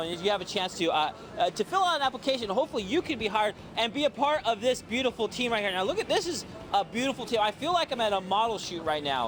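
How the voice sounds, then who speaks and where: A man with a high pitch, an energetic, animated tone, lively intonation and a very fast pace, against noticeable background noise. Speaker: TV morning show field reporter. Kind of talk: live TV field report. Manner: fast, energetic.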